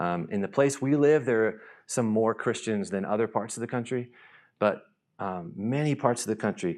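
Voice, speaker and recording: An ordinary speaking voice with an American accent moves at a moderate pace. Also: man. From US South, North Carolina. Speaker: missionary. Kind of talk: church talk. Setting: church stage with audience.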